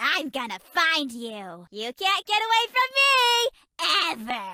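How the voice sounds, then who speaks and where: A woman's put-on character voice, extremely high, fairly slow, with very wide pitch swings. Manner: menacing, obsessive.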